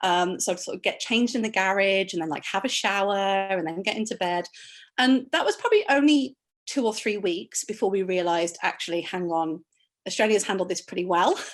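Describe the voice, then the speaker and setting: With a British accent, a woman talks at a fairly quick pace, her medium pitch showing ordinary variation. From United Kingdom. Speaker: emergency doctor. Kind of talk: online panel discussion.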